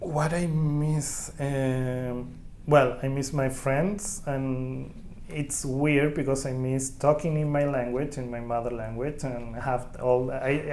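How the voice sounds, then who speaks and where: Over noticeable background noise and audible room echo, a man with a Chilean Spanish accent speaks at a fairly high pitch with fairly even intonation. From Chile, Santiago and Concepcion. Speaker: immigrant oral history interviewee. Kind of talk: oral history interview. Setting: community center. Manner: halting.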